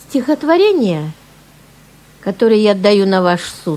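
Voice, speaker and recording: Her pitch swings very widely. The woman speaks at a medium pitch. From Siberia, Irkutsk. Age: 60s. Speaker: amateur poet. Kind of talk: personal introduction; poetry reading.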